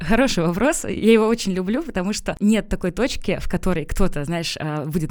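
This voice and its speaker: A woman with a plain, everyday voice, at a moderate pace and medium pitch. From Pskov region, Russia. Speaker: personal branding consultant. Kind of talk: interview. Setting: studio.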